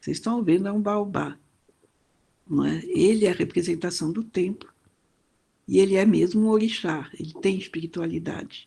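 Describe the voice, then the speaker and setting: A woman speaks at a medium pitch and a moderate pace, her tone dark and mellow. Her intonation stays fairly even, with long, frequent pauses. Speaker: professor. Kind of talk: lecture. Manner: hesitant, with many fillers.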